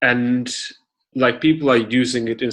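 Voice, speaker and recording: A man speaks with a Russian accent. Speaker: podcast host. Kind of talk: interview.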